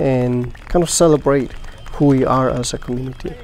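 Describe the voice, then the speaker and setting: There is audible room echo and noticeable background noise. A man at a medium pitch speaks at a moderate pace with monotone, flat intonation. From rural Mexico. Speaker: charro roping teacher. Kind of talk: documentary interview.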